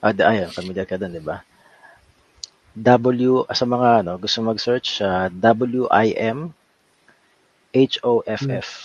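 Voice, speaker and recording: Long, frequent pauses break up a man's very slow speech, which sits at a medium pitch with ordinary pitch variation and big swings in loudness. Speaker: cycling podcast host. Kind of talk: casual chat.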